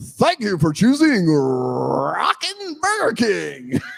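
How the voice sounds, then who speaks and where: At a very slow pace, a man performs a put-on character voice. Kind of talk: cheesy. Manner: announcer-style.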